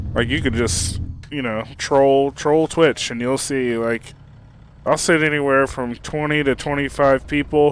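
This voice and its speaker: At a fairly slow pace, a man with a medium pitch and fairly even intonation speaks in an unremarkable speaking voice. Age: 40s. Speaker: video game streamer. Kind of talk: casual live-stream chat while gaming.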